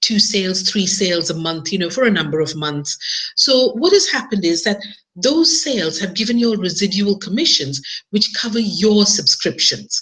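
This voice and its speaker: Her fairly high pitch swings very widely as a woman speaks at a moderate pace over noticeable background noise. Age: 50s. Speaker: online marketer. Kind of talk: webinar presentation. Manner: casual, with many fillers.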